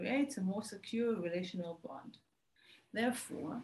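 A woman talks at a moderate speed, her voice somewhat breathy. Her pitch moves in an ordinary way. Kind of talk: research presentation. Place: home room. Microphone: webcam.

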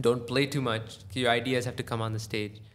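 A man speaks at a medium pitch and a moderate pace with an American accent. His intonation is flat and monotone. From United States. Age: young. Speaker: tabla player. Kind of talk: casual interview.

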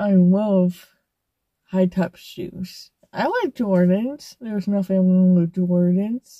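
A woman speaks very slowly in a dark, mellow, somewhat breathy voice with fairly even intonation. The sound is dry with no echo, and the background is quiet. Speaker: vlogger. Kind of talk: casual vlog chat. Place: car. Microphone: phone near.

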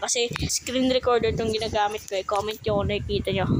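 Noticeable noise fills the background. Over it, a woman speaks at a fairly quick clip. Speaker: gaming YouTuber. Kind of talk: gameplay commentary. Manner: animated.

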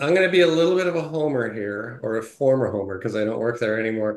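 A man with an American accent speaks at medium pitch, with ordinary pitch variation. Audible room echo surrounds him against a quiet background. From US Midwest, Detroit, Michigan; Michigan. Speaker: tech company CTO; interview guest. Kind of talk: casual interview. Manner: hesitant, many fillers. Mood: jovial, animated.

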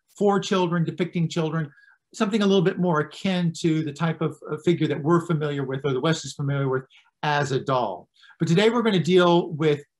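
Ordinary pitch variation runs through the speech. The man keeps up a fairly quick pace. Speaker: presenter. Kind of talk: lecture. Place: home room. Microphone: webcam.

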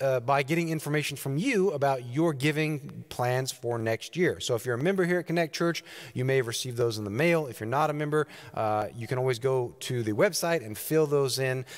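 Against a quiet background, a man speaks at a moderate pace with ordinary pitch variation. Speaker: pastor. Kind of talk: church announcements. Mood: warm, friendly. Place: church.

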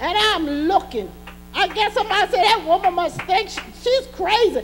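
Over music in the background, a woman speaks in an animated tone at an extremely high pitch. Her pace is fairly slow. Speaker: preacher. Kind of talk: sermon; call-and-response preaching, exhorting the congregation directly. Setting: church. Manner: animated, fervent, rhythmic pulpit delivery with repeated emphatic refrains; urgent, testifying, rising in intensity with praise shouts. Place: church.

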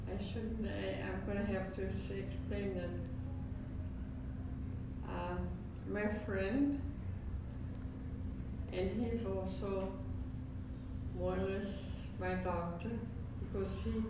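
A woman speaks at a very slow pace with long, frequent pauses. Loud background noise and audible room echo fill the recording. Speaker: elderly aunt. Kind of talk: casual conversation. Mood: relaxed, cheerful. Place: home room.

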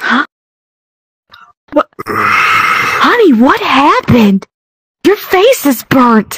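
A woman speaks at a very slow pace in an extremely high pitch, with very wide pitch swings and long, frequent pauses. The sound is dry and close, with no echo. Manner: alarmed, fussing.

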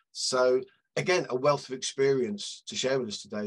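Over a quiet background, a speaker with a British accent talks at a fairly quick pace with lively intonation. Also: man. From Britain. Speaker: media analytics consultant and webinar moderator. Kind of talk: webinar panel discussion. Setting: video call. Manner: friendly, jokey. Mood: friendly, light humor. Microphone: headset.

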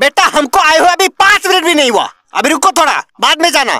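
A man speaks in a cartoonish character voice pitched extremely high. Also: fairly quick pace. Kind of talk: cartoon comedy voice acting. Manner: scolding, exasperated, blustering.

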